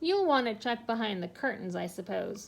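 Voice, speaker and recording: A woman performs a put-on character voice at a fairly high pitch. The recording is very clean, with a silent background. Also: moderate pace. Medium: read story. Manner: pompous, formal wording.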